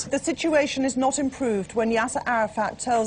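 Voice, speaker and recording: Against background music, a woman speaks at a high pitch and a moderate pace. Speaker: news presenter. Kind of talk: TV news read.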